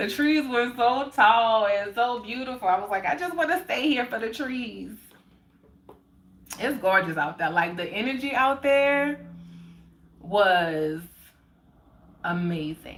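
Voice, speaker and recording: Relaxed in tone, a woman with an American accent speaks at a fairly slow pace and a fairly high pitch, with very wide pitch swings and long, frequent pauses. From New Orleans, US South. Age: 30s. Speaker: spiritual livestreamer. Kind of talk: casual livestream chat. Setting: live stream. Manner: relaxed, chatty.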